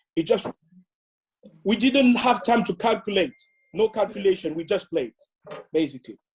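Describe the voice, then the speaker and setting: A man with a high-pitched voice talks at a moderate pace, his intonation lively. He leaves long, frequent pauses, and the sound is dry and close with no echo. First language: French. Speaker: former footballer. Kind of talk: casual reminiscing. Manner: halting.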